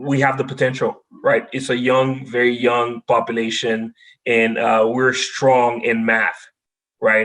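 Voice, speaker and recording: A man with a Haitian accent, medium pitch, monotone, flat intonation and a fairly slow pace. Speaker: data science expert. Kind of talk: podcast interview.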